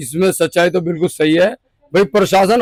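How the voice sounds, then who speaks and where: Fairly even intonation marks this man's speech. The sound is dry and close, with no echo. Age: 60s. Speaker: shop owner. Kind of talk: interview.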